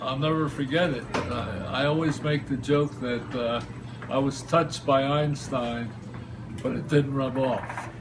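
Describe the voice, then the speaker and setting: With a New Jersey accent, a man speaks fairly slowly at a medium pitch and with fairly even intonation, amid noticeable background noise and audible room echo. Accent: New Jersey American. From New Jersey, Princeton. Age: 70s. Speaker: local storyteller. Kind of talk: personal anecdote interview. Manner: halting, filler words.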